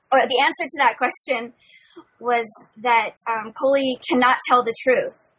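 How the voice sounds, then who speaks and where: This woman speaks with a high pitch. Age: 30s. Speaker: young adult novelist. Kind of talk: casual chat.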